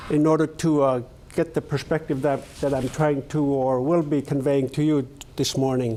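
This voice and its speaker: This man's fairly high voice moves at a moderate pace. His intonation is monotone and flat, and his loudness stays very even. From Alaska, Yup'ik village on the lower Kuskokwim River. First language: Yup'ik. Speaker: Alaska Native leader, invited speaker. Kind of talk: presentation to a leadership class. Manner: halting, many fillers.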